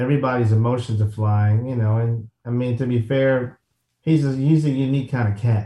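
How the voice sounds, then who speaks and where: A man talks at medium pitch and a moderate speed, his voice dark and mellow, somewhat breathy, with fairly even intonation. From Chicago, South Side. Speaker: golf entrepreneur and media founder. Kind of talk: casual chat.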